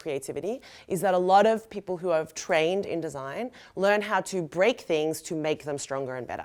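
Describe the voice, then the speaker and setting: In a very clean recording with a silent background, a woman with an Australian accent speaks in an animated tone at medium pitch and a fairly quick pace. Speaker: designer and sustainability educator. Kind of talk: lecture. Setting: stage with audience. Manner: fast.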